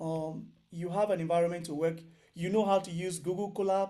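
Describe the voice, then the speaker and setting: The voice has a dark, mellow tone and monotone, flat intonation. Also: man. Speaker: programming instructor. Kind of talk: online lecture. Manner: loud.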